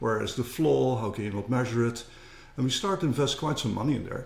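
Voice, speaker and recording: In a Dutch accent, a man talks at a medium pitch with vocal fry. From Netherlands. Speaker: company co-founder. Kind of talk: interview.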